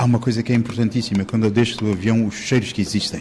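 Over noticeable background noise, a man talks very fast at medium pitch with fairly even intonation. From Mozambique. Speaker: painter. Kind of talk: interview.

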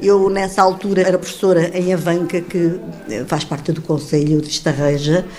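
At a moderate pace, the speech carries fairly even intonation over noticeable background noise. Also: woman, fairly low pitch for a woman. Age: 70s. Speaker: former mayor and retired teacher. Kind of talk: interview testimony.

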